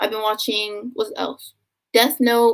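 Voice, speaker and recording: This woman has a Philadelphia accent and a high-pitched voice. She keeps a moderate pace. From US, Philadelphia. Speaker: booktuber. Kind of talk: live stream Q&A. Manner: casual, filler-heavy.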